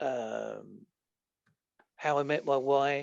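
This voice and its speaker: With an Essex accent, this voice keeps a fairly even intonation against a quiet background. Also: man. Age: 50s. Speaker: podcast guest, author. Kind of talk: casual chat. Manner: halting.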